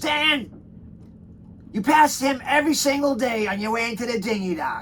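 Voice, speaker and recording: A gruff, put-on character voice at a moderate pace over clear background noise. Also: man, extremely high pitch for a man. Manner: blunt.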